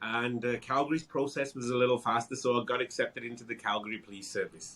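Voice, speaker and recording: This man talks very fast in a British accent, at a medium pitch. His tone is bright and sharp, and his intonation stays fairly even. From England, Wolverhampton. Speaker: real estate broker, former police officer. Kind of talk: interview.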